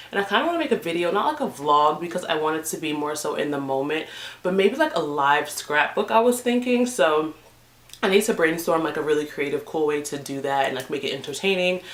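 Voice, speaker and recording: Very fast, animated speech with lively intonation over noticeable background noise. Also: woman, fairly low pitch for a woman. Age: 20s. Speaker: beauty vlogger. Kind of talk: casual vlog talk to camera.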